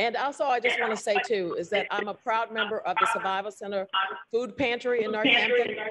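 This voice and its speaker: Fairly quick and fairly high in pitch, a woman speaks with a slight Southern US accent and ordinary pitch variation. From Texas. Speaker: public housing board member and activist. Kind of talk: speech at event.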